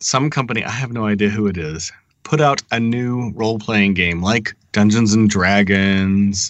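With a normal speaking voice, a man talks at a fairly slow pace with a fairly low pitch. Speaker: software developer panelist. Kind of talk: casual technical discussion.

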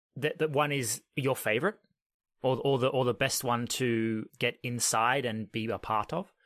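Recorded very cleanly against a silent background, the sound dry and close with no echo, a man with an Australian accent speaks at a moderate pace and medium pitch with ordinary pitch variation. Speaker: podcast host. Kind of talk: casual interview conversation.

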